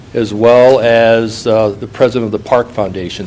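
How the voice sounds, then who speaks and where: Through noticeable background noise, a man with an American accent speaks at a fairly slow pace in a monotone, flat intonation. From Illinois, US. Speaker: business executive. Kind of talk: panel discussion.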